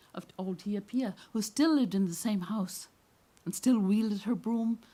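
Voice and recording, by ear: With its pitch varying in an ordinary way, a natural voice reads aloud.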